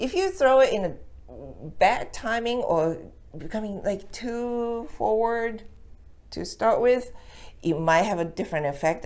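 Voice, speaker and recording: With audible room echo, a woman speaks at a moderate pace in a Japanese accent, her loudness swinging widely. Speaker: Japanese language teacher. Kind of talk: tutorial. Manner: casual, halting with fillers.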